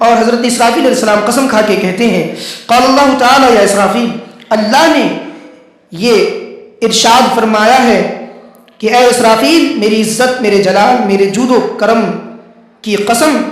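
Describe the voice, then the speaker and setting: A man speaks at an extremely high pitch, with ordinary pitch variation and very even loudness. Noticeable background noise is present. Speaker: Islamic scholar giving a religious sermon. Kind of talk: religious lecture / sermon.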